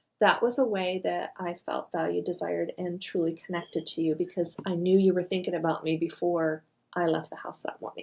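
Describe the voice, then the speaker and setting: In an unremarkable speaking voice, a woman with a fairly low pitch talks at a fairly quick pace with hardly any pauses and fairly even intonation. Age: 60s. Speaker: marriage podcast co-host. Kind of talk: casual chat.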